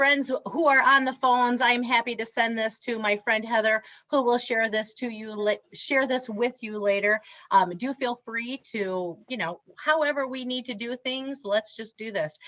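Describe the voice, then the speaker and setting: A moderate pace with ordinary pitch variation. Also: woman, high pitch for a woman. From Wisconsin, Reedsburg. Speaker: diversity trainer and speaker. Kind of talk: workshop presentation. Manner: animated.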